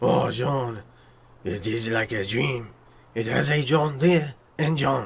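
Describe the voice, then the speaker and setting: A man's raspy put-on character voice at a medium pitch, fairly slow, with lively intonation and long, frequent pauses. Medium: machinima.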